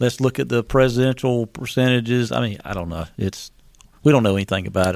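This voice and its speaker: On a very clean recording with a silent background, a man with an unremarkable speaking voice and medium pitch talks at a fairly quick pace. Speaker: radio co-host. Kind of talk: political talk radio. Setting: radio studio.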